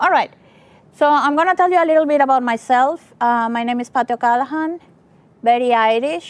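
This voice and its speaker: High-pitched, lively intonation from a woman. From Venezuela. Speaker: tech conference speaker. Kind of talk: tech talk.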